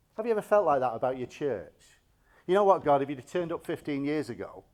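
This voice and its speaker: A man's plain, everyday voice, fairly high in pitch with lively intonation, in a very clean recording against a silent background. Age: 60s. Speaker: bishop. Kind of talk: sermon.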